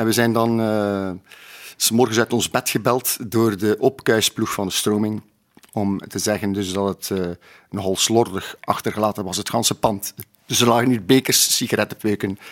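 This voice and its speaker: A man speaks at a moderate pace with a fairly low pitch and monotone, flat intonation. The recording is very clean with a silent background, and the sound is dry and close with no echo. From Flanders, Belgium (Sleidinge, East Flanders). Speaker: drummer. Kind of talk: interview, reminiscing.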